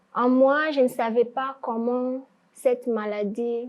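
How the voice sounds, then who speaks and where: Monotone, flat intonation from a woman with a fairly high pitch. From DR Congo, Ituri. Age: 20s. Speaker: student sharing life story. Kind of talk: testimony.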